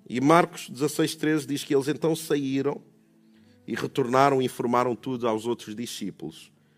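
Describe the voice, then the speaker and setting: A man's warm, medium-pitched voice with a European Portuguese accent, at a moderate pace with ordinary pitch variation. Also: very clean recording, silent background. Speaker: preacher. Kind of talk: sermon. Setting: church with congregation. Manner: rhetorical, repeating questions for emphasis; warm, conversational, preacherly.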